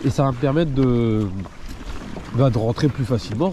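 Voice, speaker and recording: The man's pitch moves with ordinary variation while noticeable background noise carries on behind him. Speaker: fishing video creator. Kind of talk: casual vlog narration. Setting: outdoors on a kayak at sea.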